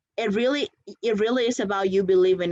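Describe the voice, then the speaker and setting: With a non-native accent, a woman talks at a fairly quick pace. Her tone is energetic, with ordinary pitch variation. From outside the US, came at 17. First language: not English. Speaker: conference speaker, startup founder. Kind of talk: conference talk.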